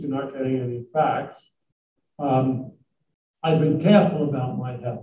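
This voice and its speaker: With audible room echo, a man speaks at a moderate pace in a somewhat breathy voice and fairly even intonation. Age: 80s+. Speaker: business executive giving a talk. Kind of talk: talk with Q&A to students. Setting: college hall with live audience. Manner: halting, many fillers.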